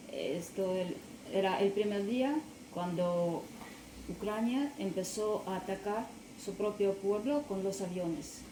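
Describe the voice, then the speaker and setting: Amid noticeable background noise and audible room echo, a woman with a non-native accent speaks very slowly at a medium pitch, with ordinary pitch variation and long, frequent pauses. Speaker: witness. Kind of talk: testimony. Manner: soft-spoken; halting.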